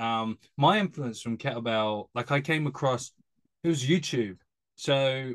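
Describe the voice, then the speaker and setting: Set against a quiet background, a speaker with a British accent talks at a moderate pace with ordinary pitch variation. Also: man. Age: 30s. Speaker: podcast host, strength coach. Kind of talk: casual interview chat.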